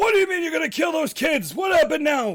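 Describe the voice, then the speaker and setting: Shouting at a very fast pace, a man puts on a character voice at an extremely high pitch. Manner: yelling, angry.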